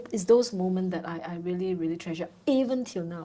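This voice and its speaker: A woman's dark, mellow tone with lively intonation. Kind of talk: interview.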